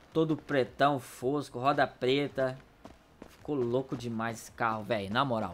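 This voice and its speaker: A man speaks in an animated tone at a moderate pace. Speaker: gaming YouTuber. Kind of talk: casual gameplay commentary.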